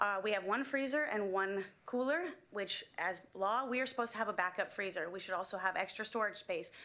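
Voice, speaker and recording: A loud woman's voice, bright and sharp, fairly high-pitched, with ordinary pitch variation and a fairly quick pace. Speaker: school kitchen worker, public commenter. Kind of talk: public comment at school board meeting.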